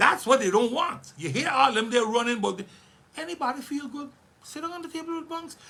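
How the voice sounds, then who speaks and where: In a raised, projected voice with an animated tone, a man speaks at a fairly quick pace, his pitch extremely high and his intonation lively. His loudness swings widely over noticeable background noise. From St. Maarten. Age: 60s. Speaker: politician. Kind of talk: radio interview.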